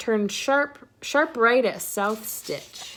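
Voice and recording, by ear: Putting on a character voice, a woman speaks very slowly with a fairly high pitch, a fairly bright tone and lively intonation.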